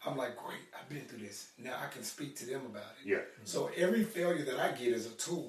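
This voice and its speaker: A man with an American accent talks at a fairly quick pace. The room echo is audible, and background noise is noticeable. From Arkansas, US. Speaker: fitness business owner. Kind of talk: interview.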